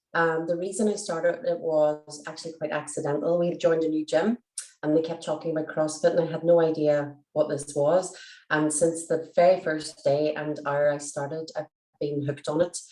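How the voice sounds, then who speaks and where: In a Derry accent, a woman speaks at a moderate pace with a very deep, low pitch and fairly even intonation. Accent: Northern Irish (Derry). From Northern Ireland, Derry. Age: 40s. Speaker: teacher and nutrition client. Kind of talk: testimonial interview.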